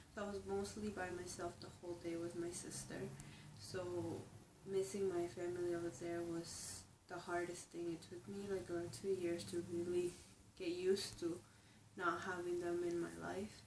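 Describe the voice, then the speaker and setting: A woman with a Spanish accent speaks at a fairly low pitch with fairly even intonation. Room echo is audible, and background noise is noticeable. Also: moderate pace. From Ecuador, moved to US at age eight. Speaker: immigrant college student. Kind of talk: interview testimony. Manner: halting, with repetitions and fillers.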